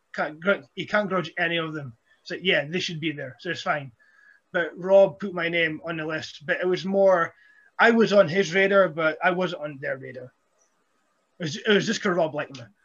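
Swinging widely in loudness, a man with a Scottish accent speaks at a high pitch with ordinary pitch variation. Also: moderate pace. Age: 30s. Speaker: professional wrestler. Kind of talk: casual chat.

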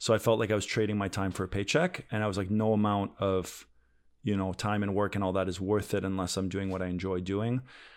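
In a very clean recording with a silent background, a man talks very fast in a fairly low, monotone voice with flat intonation. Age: 30s. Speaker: death metal guitarist and investor. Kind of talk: podcast interview. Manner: says uh and um a lot.

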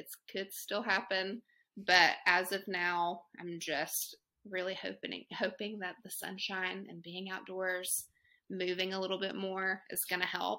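A woman speaks in a Southern US accent at a fairly slow pace, with a medium pitch and a bright, sharp tone. Her intonation is monotone and flat while her loudness swings widely, in a very clean recording with a silent background. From Chattanooga, Tennessee. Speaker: guest, mom ambassador. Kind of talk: casual chat.

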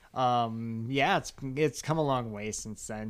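A man in a normal speaking voice talks at a medium pitch with ordinary pitch variation, in a very clean recording with a silent background. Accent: American. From Chicago. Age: 40s. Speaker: podcast host. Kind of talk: casual chat.

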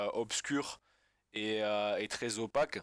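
Someone with a southern French accent is heard on a very clean recording with a silent background. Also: man. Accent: southern French, sing-song. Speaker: football fan. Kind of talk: casual chat. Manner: halting.

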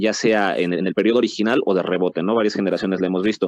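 A man's ordinary speaking voice, fairly low in pitch, at a fairly quick pace. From Mexico. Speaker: podcast host. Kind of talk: casual panel discussion.

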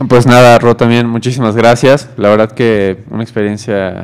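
In an ordinary speaking voice, a man talks at a moderate pace with a fairly low pitch and fairly even intonation. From Mexico. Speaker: student radio co-host. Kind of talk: casual chat.

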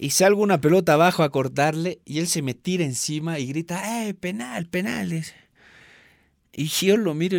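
A man talks at a moderate pace with a high pitch and ordinary pitch variation. The recording is very clean, with a silent background. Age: 30s. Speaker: former goalkeeper and goalkeeping coach. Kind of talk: interview.

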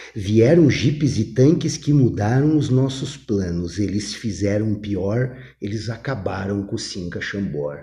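A man's fairly low, somewhat breathy voice with a dark, mellow tone, fairly slow yet with hardly any pauses, in audible room echo. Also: lively intonation. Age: 50s. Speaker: former math teacher and rock expert. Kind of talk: casual chat. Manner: animated.

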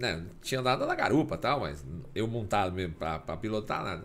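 A man talks at a very fast pace with a fairly low, somewhat breathy voice. His intonation is lively, and audible room echo is present. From Acre, Brazil (Rio Branco). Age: 50s. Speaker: motorcycle riding instructor, former highway police officer. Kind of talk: casual interview chat.

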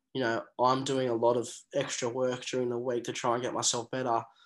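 Speaking with an Australian accent, a man keeps a medium pitch and a monotone, flat intonation. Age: 20s. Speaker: professional rugby player. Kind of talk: interview.

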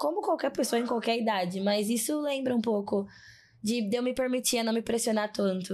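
Her dark, mellow tone moves at a fairly quick pace as the woman speaks with ordinary pitch variation. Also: very even loudness. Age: 20s. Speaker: psychologist and diversity specialist. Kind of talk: casual interview conversation. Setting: studio in São Paulo.

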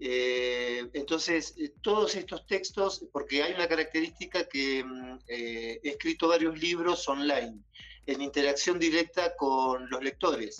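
This man talks at a fairly slow pace, his pitch fairly high. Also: ordinary pitch variation. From Argentina, Buenos Aires province (Bordenave, Mar del Plata). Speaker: psychologist and poet. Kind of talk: interview.

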